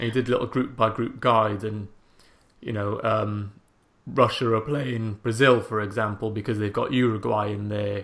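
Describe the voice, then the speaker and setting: A Welsh accent in a monotone with flat intonation, at a fairly slow pace. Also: man. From Wales. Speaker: football podcast host. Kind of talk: casual chat.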